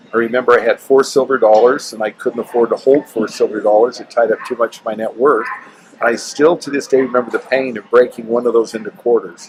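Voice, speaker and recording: Very fast speech with fairly even intonation, an American accent and noticeable background noise. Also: man, medium pitch for a man. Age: 60s. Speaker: real estate developer and coin collector. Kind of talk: interview. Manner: halting.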